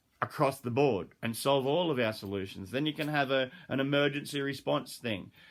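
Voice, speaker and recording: A man with an Australian accent speaks at medium pitch with vocal fry, in a very clean recording over a silent background. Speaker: dog trainer and animal behaviourist. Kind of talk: casual monologue. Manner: fast.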